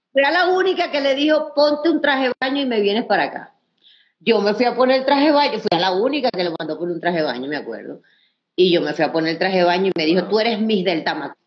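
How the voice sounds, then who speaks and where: Over a quiet background, a woman talks very fast in an animated tone, her fairly high pitch making very wide swings. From Venezuela, Anzoátegui; raised in Caracas. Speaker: former beauty queen and comic actress. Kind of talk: casual interview chat. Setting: live video stream. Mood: animated, smiling. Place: home room. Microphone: video call.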